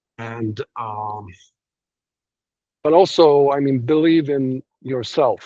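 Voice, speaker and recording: Heard dry and close with no echo, a man with a non-native accent and a dark, mellow tone speaks at a very slow pace with fairly even intonation. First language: not English. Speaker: domain investor. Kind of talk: interview. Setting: video call. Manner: halting.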